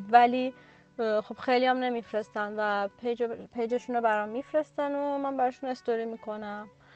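A woman's high voice at a moderate pace, fairly even in intonation, with music in the background. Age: 30s. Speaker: freelance illustrator. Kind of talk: casual chat. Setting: video call.

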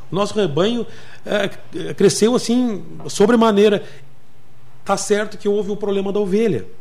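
A man speaks in a high voice at a moderate pace, with fairly even intonation. Long pauses come often, and the room echo is audible. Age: 50s. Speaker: municipal agriculture secretary. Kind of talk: radio interview. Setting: radio studio.

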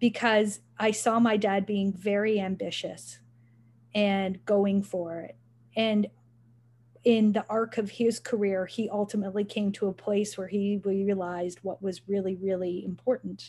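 A woman with a Canadian accent speaks at a fairly slow pace, her pitch medium. She has a plain, everyday voice with fairly even intonation. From Canada, Richmond Hill, Ontario. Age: 50s. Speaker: nonprofit foundation president. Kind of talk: interview.

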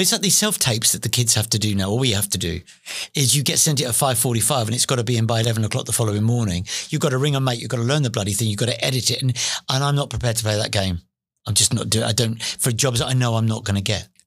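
Very fast, somewhat breathy speech with ordinary pitch variation on a very clean recording with a silent background. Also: man, medium pitch for a man. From East London. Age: 50s. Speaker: musical theatre performer and singing teacher. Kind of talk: casual interview chat. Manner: animated.

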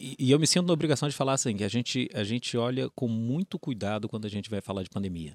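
A man's very fast speech with lively intonation and a dry, close sound with no echo. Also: medium pitch for a man, hardly any pauses, very clean recording, silent background. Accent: Rio de Janeiro. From Rio de Janeiro, Brazil. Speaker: company innovation director. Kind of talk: interview conversation.

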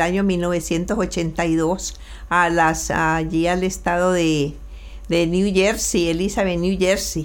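A woman speaks with fairly even intonation. There is audible room echo. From Colombia, Valle del Cauca (Buga/Cali). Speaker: immigrant mother. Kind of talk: interview. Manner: halting, repeats words.

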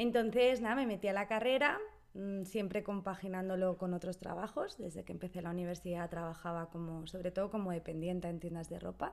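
Noticeable background noise behind fairly quick talking with ordinary pitch variation. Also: woman, medium pitch for a woman. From Spain, Barcelona. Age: 30s. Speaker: Spanish teacher. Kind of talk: casual chat.

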